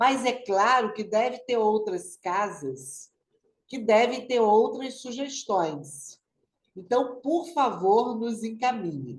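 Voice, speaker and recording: Vocal fry colors lively intonation delivered at a very slow pace. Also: woman. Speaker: spiritist study group coordinator. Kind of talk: online study group announcements. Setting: video call.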